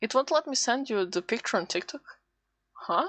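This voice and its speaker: A woman with a non-native accent speaks at a moderate pace in a medium pitch, her voice swinging very widely up and down. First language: not English. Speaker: VTuber streamer. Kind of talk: casual live stream chat while drawing. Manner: halting, self-interrupting.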